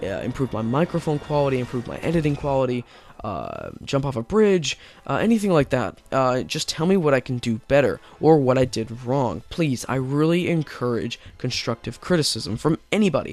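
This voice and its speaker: The speaker keeps a moderate pace and lively intonation while noticeable background noise is present. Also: man. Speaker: gaming youtuber. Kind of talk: video commentary. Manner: halting, many fillers.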